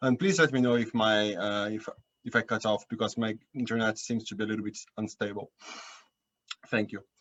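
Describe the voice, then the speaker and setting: A man with a Portuguese accent speaks at a fairly quick pace and a medium pitch. His intonation stays fairly even, broken by long, frequent pauses. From Brazil, São Paulo. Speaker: climate nonprofit staffer. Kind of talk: panel presentation. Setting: video call. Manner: hesitant, many fillers. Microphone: unstable internet connection.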